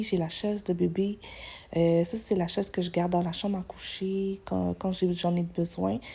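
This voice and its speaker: In a Quebec accent, a woman speaks at a moderate pace in a dark, mellow, somewhat breathy tone, fairly low in pitch and monotone in intonation, on a very clean recording with a silent background. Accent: Québécois French. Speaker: vlogger, mother. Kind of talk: casual vlog. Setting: at home. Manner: soft-spoken, whispering; hesitant, many fillers.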